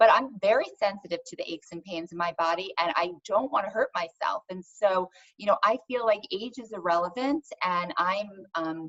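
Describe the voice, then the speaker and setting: A woman uses a normal speaking voice at a medium pitch, with ordinary pitch variation and big swings in loudness. The sound is dry and close, with no echo. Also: moderate pace. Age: 40s. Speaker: wellness founder. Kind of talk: interview.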